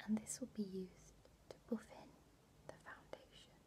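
Soft-spoken whispering in a gentle tone moves at a moderate pace with big swings in loudness and noticeable background noise. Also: woman. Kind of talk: soft-spoken roleplay, addressing viewer. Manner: soft ASMR whisper, gentle and slow. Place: home room. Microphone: webcam.

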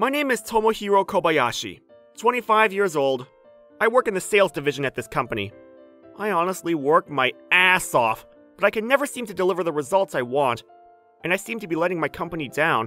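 In a put-on character voice, whiny with a nervous, whiny tone, the speaker rushes at a fairly quick pace through very wide pitch swings while faint music plays in the background. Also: man. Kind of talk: anime dub acting. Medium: cartoon. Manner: nervous, whiny, panicky.

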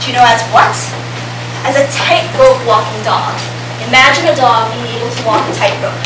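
The pace is moderate, with audible echo from the room. Background noise is noticeable throughout. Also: woman. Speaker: presenter. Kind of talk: lecture. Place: hall. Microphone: camera far.

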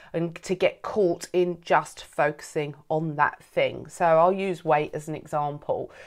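A woman reads in a monotone, flat voice at a fairly slow pace against a quiet background. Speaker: coach or host of a program. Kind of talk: welcome talk to camera. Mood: warm, earnest. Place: home room. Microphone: phone near.

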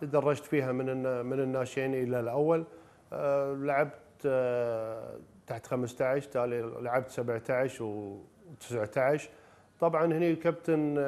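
Very slow speech from a man at medium pitch, with fairly even intonation. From Kuwait. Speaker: former basketball player and coach; coach. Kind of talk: personal reminiscence in a TV interview. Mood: calm, reflective. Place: home room. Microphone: lapel.

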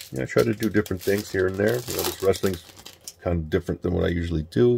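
Quiet and fairly quick, a man speaks in a very deep, low pitch with ordinary pitch variation, the sound dry and close with no echo. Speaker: sports card collector. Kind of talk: casual pack-opening vlog. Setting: at home late at night. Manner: quiet, subdued; mellow, relaxed.

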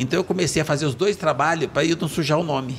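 A man races through his words at a very fast speed, with light background noise behind him. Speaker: guest. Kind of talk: interview answer. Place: studio. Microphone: studio mic.

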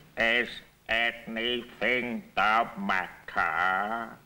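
A man puts on a character voice at a medium pitch.

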